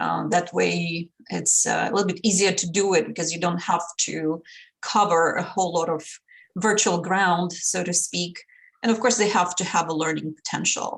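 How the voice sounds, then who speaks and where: With a Russian accent, a woman speaks at a moderate pace in a fairly low voice with vocal fry and fairly even intonation. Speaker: language instructor and module developer. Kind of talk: podcast interview.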